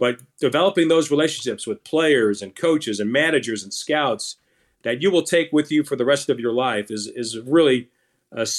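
A man's unremarkable speaking voice at medium pitch, with lively intonation, a moderate pace and a very clean recording over a silent background. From Orlando, Florida (born in Brooklyn). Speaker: baseball play-by-play announcer. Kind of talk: casual interview.

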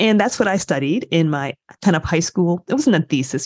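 An ordinary speaking voice comes through with an American accent. The background is quiet. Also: woman, dry, close sound with no echo. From US Midwest, Michigan. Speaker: professor and podcast co-host. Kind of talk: interview conversation.

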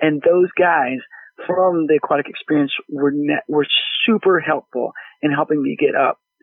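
A man with a plain, everyday voice, an American accent, fairly high pitch, fairly even intonation, very even loudness and a moderate pace. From Texas. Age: 30s. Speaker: aquarium brand manager. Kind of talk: casual interview.

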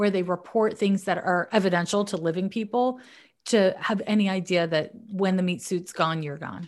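A woman talks at a moderate pace in a medium pitch against a quiet background. Hers is an unremarkable speaking voice. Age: 40s. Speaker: psychic astrologer. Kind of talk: casual advice chat. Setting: remote call from her office.

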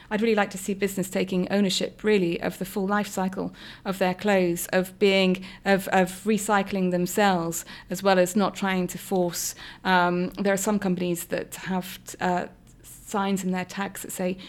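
In a British accent, a woman speaks at a moderate pace and medium pitch with monotone, flat intonation, on a very clean recording with a silent background. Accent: regional UK. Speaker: political party deputy leader. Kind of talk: interview.

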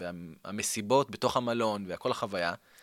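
A man with a fairly low pitch and a bright, sharp tone speaks with ordinary pitch variation in a very clean recording with a silent background. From Israel. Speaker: tour company owner. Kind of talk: interview. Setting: studio.

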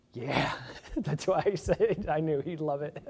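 The speaker is a man with a Midwestern American accent. He keeps a moderate pace. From Indiana, US Midwest. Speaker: pastor candidate. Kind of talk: sermon.

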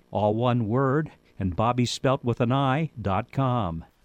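With lively intonation, a man uses a normal speaking voice pitched in the medium range. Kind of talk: interview and show announcements.

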